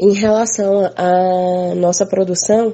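A woman talks at a very slow pace. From Minas Gerais, Brazil. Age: 20s. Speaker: farmer and community communicator. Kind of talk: interview testimony.

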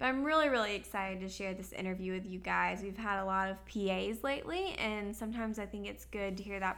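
A fairly quick pace amid audible room echo. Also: woman. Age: 20s. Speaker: podcast host. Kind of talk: casual chat. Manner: animated.

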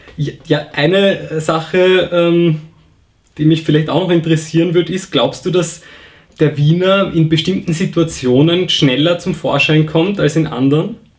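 The man's high voice keeps a fairly even intonation. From Vienna. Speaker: podcast host. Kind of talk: interview.

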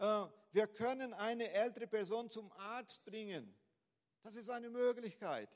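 A man with a strong Brazilian accent speaks at a very slow pace and a high pitch. His intonation stays fairly even while his loudness swings widely. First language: Portuguese (speaking German). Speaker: pastor. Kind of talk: sermon. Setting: church. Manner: halting, with fillers and repeats.

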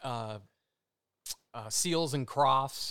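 On a very clean recording with a silent background, a man speaks with an American accent at a medium pitch. He has a plain, everyday voice and a fairly slow pace. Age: 60s. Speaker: musician. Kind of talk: casual chat.

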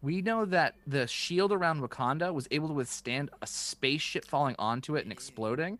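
Over a silent background in a very clean recording, a man with a fairly high pitch talks at a fairly quick pace, his intonation lively and his tone animated. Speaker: podcast host. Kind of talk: casual chat. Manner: animated, excitable.

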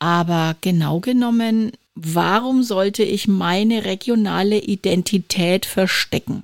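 A woman talks at a very slow pace and a medium pitch. Her loudness stays very even, and the sound is dry and close with no echo. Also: ordinary pitch variation. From Franconia, Germany. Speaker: podcast host and podcast trainer. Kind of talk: casual chat.

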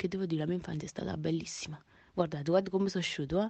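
A woman speaks with a Neapolitan accent at a fairly low pitch. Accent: Neapolitan Italian. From Naples, Italy. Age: 20s. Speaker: singer and online content creator. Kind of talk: casual radio interview. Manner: animated.

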